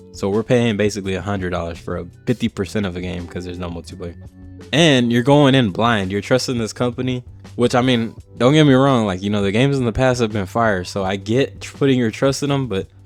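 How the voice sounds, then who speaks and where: Music plays in the background. Over it, a man talks with ordinary pitch variation. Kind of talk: casual rant to camera. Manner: casual, ranting.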